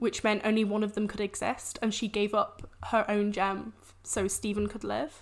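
This woman talks in an English accent with a fairly high pitch and a monotone, flat delivery. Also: moderate pace. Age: 20s. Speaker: science communicator. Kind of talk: casual chat.

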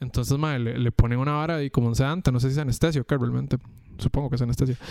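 This man has a medium pitch and speaks with a Costa Rican accent. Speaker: podcast co-host. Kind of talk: casual chat.

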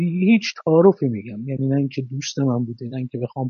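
His voice sits at a fairly high pitch. The man sounds somewhat breathy. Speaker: screenwriter. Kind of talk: interview.

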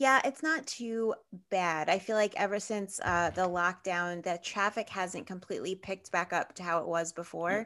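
On a very clean recording with a silent background, a woman with an American accent talks at a moderate pace in a bright, sharp tone, her medium pitch showing ordinary variation. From Brooklyn, New York. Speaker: podcast producer and host. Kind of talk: casual interview.

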